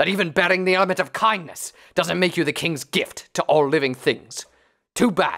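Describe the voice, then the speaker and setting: A gruff, put-on character voice at a fairly quick pace, on a very clean recording with a silent background. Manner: blunt, scolding, unsympathetic.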